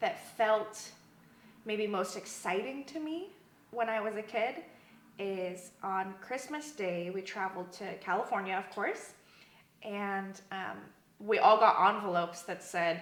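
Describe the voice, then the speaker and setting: A woman with an American accent at a medium pitch, lively intonation and a fairly slow pace, with audible room echo and noticeable background noise. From US Southwest, Arizona. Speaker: church member. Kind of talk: interview. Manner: casual with many fillers.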